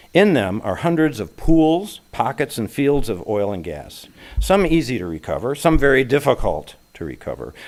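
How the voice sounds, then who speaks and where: Moderate pace, vocal fry and very wide pitch swings. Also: man, medium pitch for a man. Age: 70s. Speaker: lay speaker at a congregation. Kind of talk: sermon-style talk.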